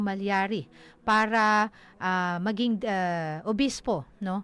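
A woman speaks at a very slow pace. The recording is very clean with a silent background. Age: 40s. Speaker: local radio news announcer. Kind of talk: radio news report. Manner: halting, many fillers.

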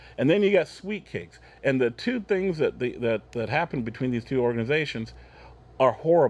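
With an American accent, a man speaks at a fairly quick pace in a fairly high pitch, making very wide pitch swings. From Oregon. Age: 50s. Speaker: businessman; talk show guest. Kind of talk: casual chat. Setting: studio. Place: studio.

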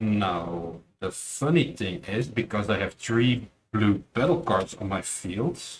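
Over light background noise, a man with a fairly low pitch speaks very slowly yet with hardly any pauses, somewhat breathy and with very wide pitch swings. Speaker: card game player and tournament judge. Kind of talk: casual chat during card game match. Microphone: camera far.

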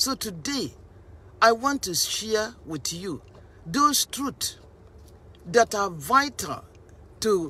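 A woman speaks at a very slow pace. The sound is dry with no echo. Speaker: preacher. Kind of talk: sermon. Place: car. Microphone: phone near.

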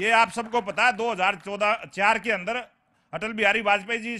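A man speaks in a high, raised and projected voice with a bright, sharp tone. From Haryana, Sonipat area; Haryana. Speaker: local politician. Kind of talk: political debate. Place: garden. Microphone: handheld.

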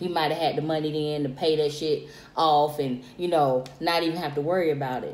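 Audible room echo surrounds a woman whose very deep, low voice keeps a monotone, flat intonation. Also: fairly quick pace. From South Carolina. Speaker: friend of vlogger. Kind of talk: casual chat. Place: home room. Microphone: phone near.

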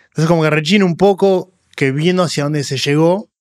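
A Rioplatense accent, ordinary pitch variation, and a quiet background. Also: man. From Argentina. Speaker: podcast host. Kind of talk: interview. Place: studio. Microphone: studio mic.

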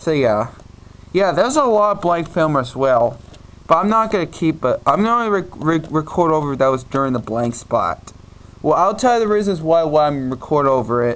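His pitch rises and falls very widely. A man talks at a moderate pace. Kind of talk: casual vlog chat. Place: home room. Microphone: phone near.

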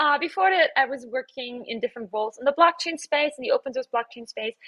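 A woman's raised, projected voice, bright and sharp in tone, with very wide pitch swings, against a quiet background. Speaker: conference presenter. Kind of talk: conference talk.

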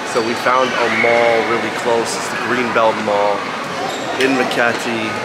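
Male speech, fairly slow, under loud background noise. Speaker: travel vlogger. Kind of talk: casual vlog chat. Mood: upbeat, playful. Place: market. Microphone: phone near.

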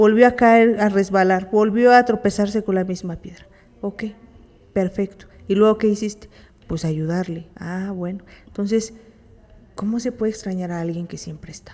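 Speaking with a Mexican accent at a moderate pace, a woman uses fairly even intonation, big swings in loudness, and long, frequent pauses. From Mexico. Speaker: therapist and co-host; psychologist radio host. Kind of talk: live radio talk. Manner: halting. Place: studio. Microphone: studio mic.

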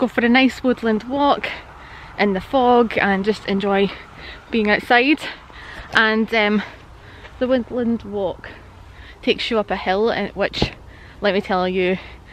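A woman's fairly even intonation, with long, frequent pauses, light background noise and a dry sound with no echo. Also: fairly slow pace. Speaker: wildlife photographer vlogger. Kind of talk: casual vlog chat. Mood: cheerful, laughing. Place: open country. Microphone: phone near.

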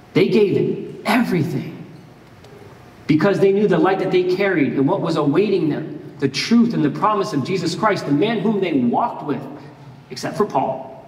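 A high male voice with an American accent, ordinary pitch variation and a moderate pace, in audible room echo. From Miami, Florida. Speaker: pastor. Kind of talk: sermon. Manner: casual, conversational. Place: church. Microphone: headset.

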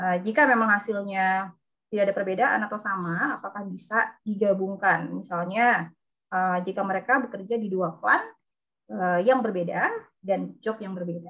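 A woman speaks at a moderate pace with a bright, sharp tone, a medium pitch and fairly even intonation. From Lampung, Indonesia. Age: 30s. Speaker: webinar moderator, occupational safety engineer. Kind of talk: moderating online seminar.

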